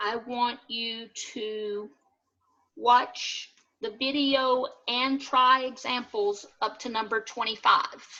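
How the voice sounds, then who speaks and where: Against a quiet background, a woman with a Southern US accent speaks very slowly in a high, bright, sharp voice, her intonation monotone and flat but her loudness swinging widely. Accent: US South. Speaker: math instructor. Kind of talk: lecture. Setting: video call.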